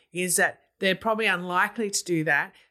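Over a silent background in a very clean recording, a woman with an Australian accent talks at a moderate pace in a medium pitch with fairly even intonation. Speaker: family law solicitor, interviewer. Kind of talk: interview discussion.

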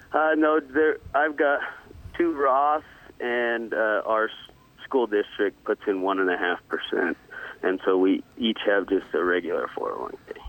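A man's very slow speech at very even loudness, with noticeable background noise. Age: 20s. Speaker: elementary school teacher. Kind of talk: casual chat.

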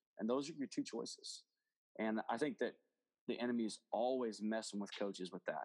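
A man with an Oklahoma accent at a medium pitch and fairly quick pace, with ordinary pitch variation and a dry, close sound with no echo. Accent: Oklahoma Southern US. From Oklahoma, US. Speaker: football coach. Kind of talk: interview testimony. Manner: animated.

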